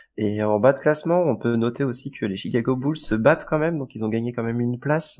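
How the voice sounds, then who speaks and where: A man at medium pitch with a Breton accent, very fast with hardly any pauses and ordinary pitch variation. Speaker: fantasy basketball podcast co-host. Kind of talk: casual podcast chat. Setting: live stream.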